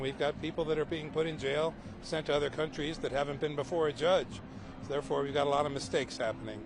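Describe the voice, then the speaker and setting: A man with a fairly high pitch talks at a very fast pace. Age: 60s. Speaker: protester. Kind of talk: street interview.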